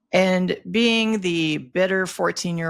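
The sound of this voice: This speaker has a North Dakota accent and ordinary pitch variation. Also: woman.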